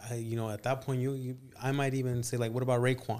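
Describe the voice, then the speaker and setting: Very fast speech comes in an American accent with monotone, flat intonation. The recording is very clean, with a silent background. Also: man. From California. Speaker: podcast host. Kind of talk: casual chat.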